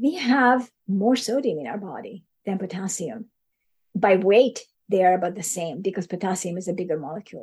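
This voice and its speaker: A woman speaks at medium pitch and a moderate pace with lively intonation. Her voice is somewhat breathy, with big swings in loudness. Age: 60s. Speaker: neuroscience researcher. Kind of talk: interview.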